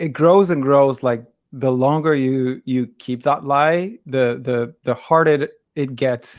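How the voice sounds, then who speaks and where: A man with a Spanish accent, fairly high in pitch, with ordinary pitch variation. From Argentina. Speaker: translator and interpreter. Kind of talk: interview. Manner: hesitant, many fillers and repetitions.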